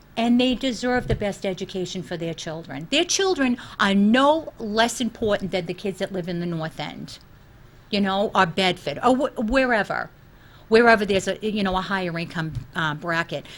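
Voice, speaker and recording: A woman of medium pitch with a Boston accent. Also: lively intonation, moderate pace. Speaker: school committee candidate. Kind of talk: interview. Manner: animated.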